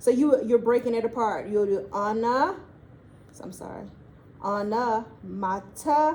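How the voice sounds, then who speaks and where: A woman with a Southern US accent speaks at a fairly slow pace and fairly high pitch with ordinary pitch variation, amid noticeable background noise and audible room echo. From Mississippi, US South. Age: adult, older than students. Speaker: teacher. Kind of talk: classroom lesson. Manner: casual, encouraging.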